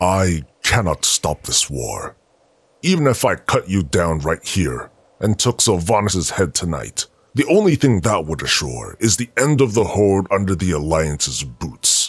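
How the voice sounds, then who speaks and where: On a very clean recording with a silent background, a man puts on a character voice pitched very deep and low. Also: moderate pace. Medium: audio drama. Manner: grave, measured, resolute.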